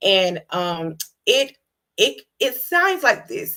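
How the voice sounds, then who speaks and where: Speaking with a Georgia accent, a woman talks at a medium pitch. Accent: Southern American (Georgia). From US South, Georgia. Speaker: HIV advocate and nonprofit host. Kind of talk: educational talk on live show. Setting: livestream. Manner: fast; casual, conversational.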